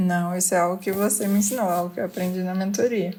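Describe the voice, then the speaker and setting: The intonation is flat and monotone. Words come at a moderate pace. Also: woman. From Minas Gerais, Brazil. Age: 30s. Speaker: engineer, podcast guest. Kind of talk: podcast interview.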